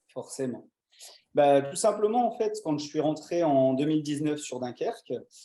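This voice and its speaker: With lively intonation and a fairly slow pace, a man talks in a fairly high pitch with a dark, mellow tone. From northern France, Dunkirk. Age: 20s. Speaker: short-term rental owner. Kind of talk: interview.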